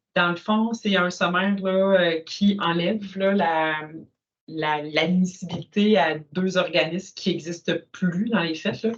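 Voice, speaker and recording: The speaker talks at a very slow pace in a Quebec accent. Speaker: council meeting chair. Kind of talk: municipal meeting discussion.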